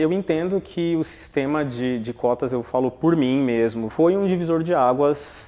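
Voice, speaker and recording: A man speaks with a dark, mellow tone at a fairly high pitch. His pace is fairly slow, with ordinary pitch variation. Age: 30s. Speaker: law graduate, former quota student. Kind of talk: documentary interview.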